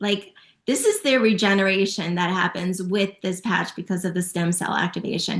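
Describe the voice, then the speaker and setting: A woman speaks with a plain, everyday voice at medium pitch. Her pace is moderate and her intonation fairly even. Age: 50s. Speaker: natural health product promoter. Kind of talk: testimony.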